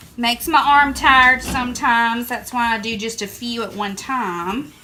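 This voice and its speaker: In a strong Southern US accent, a woman speaks with a fairly high pitch. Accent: thick Southern US. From Southern United States. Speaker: printmaker. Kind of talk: casual talk to camera.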